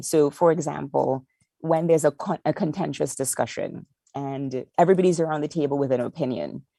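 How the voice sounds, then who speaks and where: A woman with a very deep, low pitch and a dark, mellow tone speaks at a moderate pace, with vocal fry and fairly even intonation. The sound is dry and close with no echo, and the recording is very clean with a silent background. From Trinidad. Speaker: market insights lead at a streaming company. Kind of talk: podcast interview.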